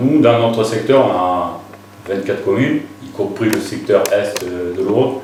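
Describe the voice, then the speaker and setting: Audible room echo and noticeable background noise surround the voice. A man delivers his words very slowly. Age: 60s. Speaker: local election candidate, retired soldier. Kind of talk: interview. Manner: hesitant, many filler sounds.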